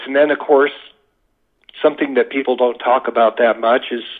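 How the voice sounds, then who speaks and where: A man with an American accent has a normal speaking voice, fairly high in pitch. He goes at a moderate pace with ordinary pitch variation. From US West, Las Vegas, Nevada. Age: 60s. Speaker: UFO witness. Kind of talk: podcast interview.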